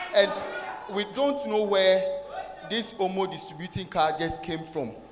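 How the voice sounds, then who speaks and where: This man talks at a fairly slow pace with a high pitch and lively intonation. Noticeable background noise runs behind him. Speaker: church usher giving testimony. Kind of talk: testimony. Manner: halting, repeating words.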